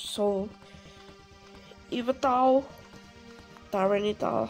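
A woman with a fairly high pitch speaks at a very slow pace, leaving long, frequent pauses. Her intonation stays fairly even over music in the background. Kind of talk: casual gameplay commentary.

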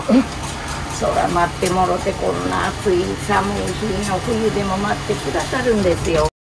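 Loud background noise sits behind a woman speaking in a Kansai accent. She talks at a fairly slow pace with hardly any pauses. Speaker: takoyaki shop owner. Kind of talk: casual talk with customers. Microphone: phone near.

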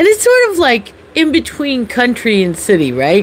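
A woman is heard over light background noise. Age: 50s. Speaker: health and life coach; life coach. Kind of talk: casual livestream chat. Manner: chatty, laughing often. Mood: warm, upbeat. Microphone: phone near.

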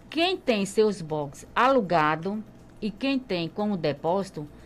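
A woman at a very slow pace, with very wide pitch swings, over light background noise. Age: 50s. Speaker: market traders' association president. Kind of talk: radio interview. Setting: radio studio. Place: studio. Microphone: studio mic.

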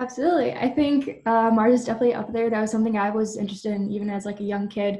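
A woman's fairly high, somewhat breathy voice with a dark, mellow tone, fairly even intonation, a very fast pace and hardly any pauses. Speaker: aerospace engineering student; panelist. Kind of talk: panel discussion. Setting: video webinar. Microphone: webcam.

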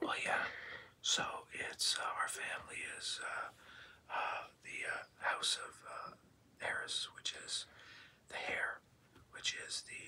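A man whispers at a very slow pace. Long, frequent pauses break up his words. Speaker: husband, computer scientist; ASMR channel co-host. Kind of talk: ASMR whispered chit chat with wife. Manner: whispered, soft-spoken. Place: home room.

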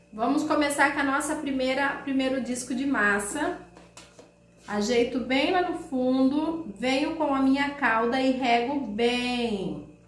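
Amid noticeable background noise and audible room echo, a woman speaks fairly slowly at a high pitch with ordinary pitch variation. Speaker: cake decorator and baking YouTuber. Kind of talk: cooking tutorial. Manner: warm, chatty.

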